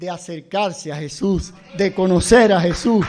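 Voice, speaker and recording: Amid audible room echo, a man talks at a high pitch with ordinary pitch variation and a fairly slow pace. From Cuba. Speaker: pastor. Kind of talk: sermon.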